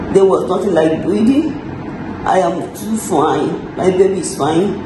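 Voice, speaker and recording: With a weary tone, a woman speaks at a fairly slow pace amid noticeable background noise and audible room echo. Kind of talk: casual vlog chat. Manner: weak, weary post-surgery voice. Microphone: phone near.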